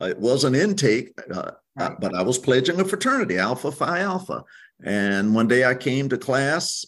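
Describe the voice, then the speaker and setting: Against a quiet background, a man talks at a medium pitch in a South Carolina accent. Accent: South Carolina Southern. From US South, Hampton County, South Carolina. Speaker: tourism bureau executive. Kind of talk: interview.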